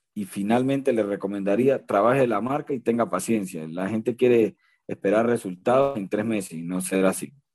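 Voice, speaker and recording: Speaking at a fairly quick pace, a man with a Venezuelan accent has a fairly low pitch. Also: ordinary pitch variation. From Venezuela, Barinas. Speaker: motivational speaker. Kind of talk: interview. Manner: animated.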